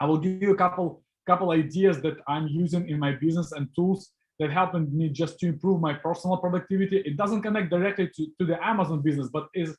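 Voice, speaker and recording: Very fast and high-pitched, a man talks with fairly even intonation. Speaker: e-commerce seller and webinar presenter. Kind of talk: live webinar talk. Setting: online video call with screen share. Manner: hesitant with many fillers.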